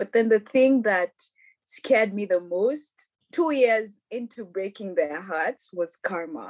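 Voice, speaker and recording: Her voice at a medium pitch, a woman speaks very slowly with lively intonation, in a dry, close sound with no echo. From Kenya, Nairobi. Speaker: podcast guest. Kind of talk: casual chat.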